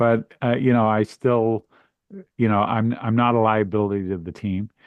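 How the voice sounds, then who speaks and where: A man with a normal speaking voice talks at a moderate pace, at medium pitch, with fairly even intonation. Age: 60s. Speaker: recovery author and podcast guest. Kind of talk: casual chat.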